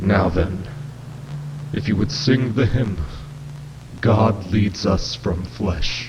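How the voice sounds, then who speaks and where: Growling and robotic, a man's put-on character voice sits fairly low in pitch and moves at a very slow pace with long, frequent pauses, over clear background noise. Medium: read story. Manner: solemn, preacherly.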